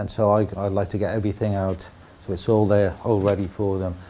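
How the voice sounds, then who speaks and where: A man's fairly low, dark, mellow voice in a South Wales accent, fairly quick, with monotone, flat intonation. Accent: South Wales (Cardiff). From Wales, Cardiff. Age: 60s. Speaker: football club kit man. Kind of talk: documentary interview. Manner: hesitant, repeats words.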